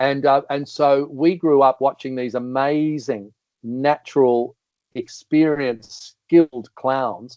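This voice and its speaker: Speaking at a very slow pace, the voice has an Australian accent and fairly even intonation. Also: man, fairly high pitch for a man. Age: 60s. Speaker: comedian and entertainer. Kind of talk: casual chat.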